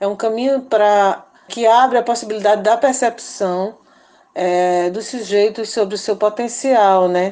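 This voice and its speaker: Speaking at a fairly slow pace, a woman uses a dark, mellow tone, a fairly high pitch and fairly even intonation. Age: 50s. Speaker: community activist and radio organizer. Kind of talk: interview. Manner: halting.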